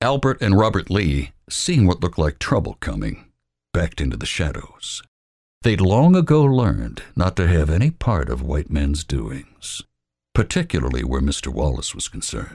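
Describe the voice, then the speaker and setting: A man's very deep, low voice with vocal fry, a dramatic tone and very wide pitch swings. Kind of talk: hard-boiled moonshine fiction read aloud, narration with gruff character voices. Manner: tense and dramatic, with hard, cold pacing in the confrontations.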